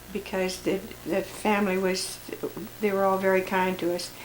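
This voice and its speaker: A woman with an American accent speaks at a moderate pace and a medium pitch, with audible room echo and noticeable background noise. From US Midwest, Lincoln, Nebraska. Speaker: family elder recording memoirs. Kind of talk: oral history reminiscence. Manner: halting, many repetitions.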